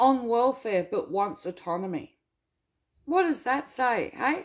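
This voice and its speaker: Very wide pitch swings mark this woman's animated tone, delivered in an Australian accent on a very clean recording with a silent background. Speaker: welfare rights activist. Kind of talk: casual Q&A monologue.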